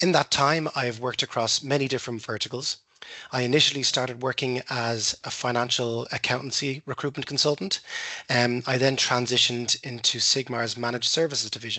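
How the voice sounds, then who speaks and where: Fairly quick, fairly even speech from a man with an Irish accent, medium in pitch. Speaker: recruiter. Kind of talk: workshop presentation. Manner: fast.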